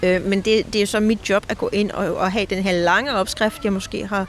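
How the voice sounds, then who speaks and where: Noticeable background noise runs beneath this recording. A woman speaks at a medium pitch. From Denmark, near Kalundborg. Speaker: knitwear designer and author. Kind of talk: casual interview. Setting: outdoors in a park.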